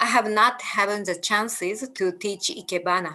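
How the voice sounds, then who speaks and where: With a Japanese accent, a woman speaks at a very slow pace. Her medium-pitched voice has lively intonation. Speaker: ikebana teacher. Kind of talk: lecture. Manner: halting.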